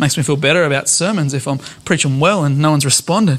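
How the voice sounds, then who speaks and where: This man talks at a moderate pace. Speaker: pastor. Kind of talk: sermon.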